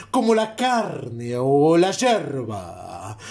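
A man's voice with very wide pitch swings. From Uruguay. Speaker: poetry reciter. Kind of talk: poetry reading.

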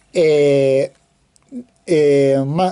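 Woman with a dark, mellow tone against a quiet background. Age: 20s. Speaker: toy car reviewer. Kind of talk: video review. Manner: halting, many fillers. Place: home room. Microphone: phone near.

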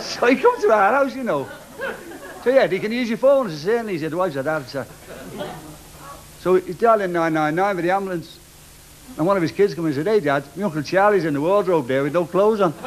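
Over light background noise, a man with a high voice talks very fast with lively intonation, broken by long, frequent pauses. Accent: Liverpool. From Liverpool. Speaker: stand-up comedian. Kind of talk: stand-up comedy routine. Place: stage. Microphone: studio mic.

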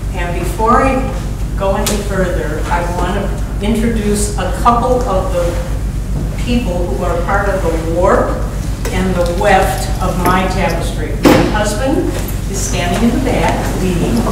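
A woman with an American accent speaks at a fairly slow pace. There is noticeable background noise and strong room echo. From US Midwest. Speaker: painter. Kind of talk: gallery talk. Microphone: camera far.

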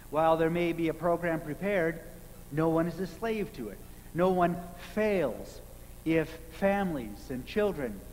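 There's light background noise as a man talks at a fairly slow pace. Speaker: minister. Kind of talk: sermon. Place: church. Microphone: podium.

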